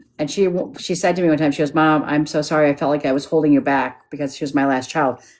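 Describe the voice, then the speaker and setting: A woman talks at a very fast pace in a very deep, low pitch. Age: 60s. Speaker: psychic medium. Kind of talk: live-stream psychic reading. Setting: live video stream. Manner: animated.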